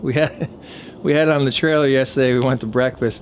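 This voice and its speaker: A man at a fairly slow pace, with ordinary pitch variation and light background noise. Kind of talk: casual vlog chat. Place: garden. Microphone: phone near.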